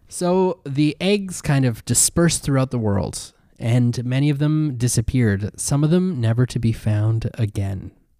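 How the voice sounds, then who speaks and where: A man's medium-pitched, dark, mellow voice with a Canadian accent, at a fairly slow pace with hardly any pauses, very even loudness and a very clean recording over a silent background. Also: lively intonation. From Canada. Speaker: podcast co-host. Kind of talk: casual chat.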